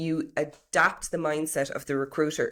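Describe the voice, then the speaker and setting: The speech comes at a moderate pace in an Irish accent, with ordinary pitch variation. The recording is very clean, with a silent background. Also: woman. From Ireland. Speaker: HR professional and property business owner. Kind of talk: interview.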